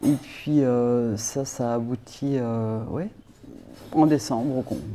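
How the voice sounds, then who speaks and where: A woman's very deep, low voice, dark and mellow in tone, at a very slow pace with fairly even intonation. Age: 60s. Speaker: politician. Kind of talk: interview.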